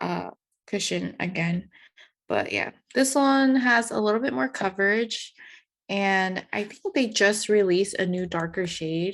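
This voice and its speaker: A woman with an ordinary speaking voice and an American accent talks at a fairly slow pace in a medium pitch. Her intonation is lively, and the background is quiet. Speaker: podcast co-host. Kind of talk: casual chat. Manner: casual, many fillers.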